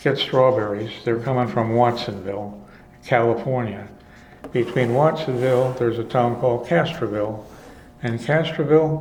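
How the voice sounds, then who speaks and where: A man with an American accent talks at a moderate pace, his pitch medium with ordinary variation. Noticeable background noise runs under his voice. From Chicago. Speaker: retired filmstrip producer. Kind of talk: oral history interview answer. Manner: rambling, hesitant.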